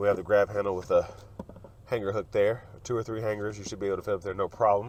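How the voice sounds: At a fast pace, the speaker keeps a fairly even intonation and a slightly mellow tone. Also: man, fairly low pitch for a man.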